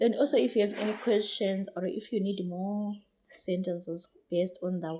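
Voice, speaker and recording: A woman's fairly even intonation comes at a moderate pace. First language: not English. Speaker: English teacher. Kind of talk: tutorial. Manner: halting.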